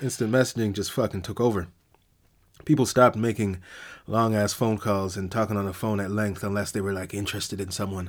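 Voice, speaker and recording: On a very clean recording with a silent background, a man talks at a very fast pace with fairly low pitch and fairly even intonation. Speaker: podcast host. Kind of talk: casual monologue. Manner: alternates between two voices, self and conscience.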